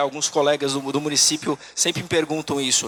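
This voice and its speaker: The voice has a bright, sharp tone in a dry, close recording with no echo. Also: man. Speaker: tax auditor, conference speaker. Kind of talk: conference talk. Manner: halting, many fillers.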